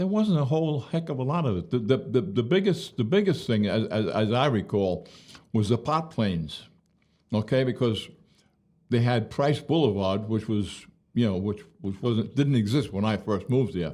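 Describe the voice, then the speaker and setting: A man with a New York accent, a dark, mellow tone, medium pitch and very wide pitch swings. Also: moderate pace. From Brooklyn, New York. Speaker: retired police officer. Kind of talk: interview answer. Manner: frank, storytelling.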